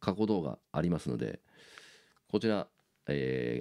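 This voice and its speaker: Over a quiet background, a man with a very deep, low pitch and a dark, mellow tone speaks with lively intonation and vocal fry. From Japan. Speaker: YouTuber and bassist; YouTuber. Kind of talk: casual monologue. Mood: enthusiastic fan talk. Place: home room. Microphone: phone near.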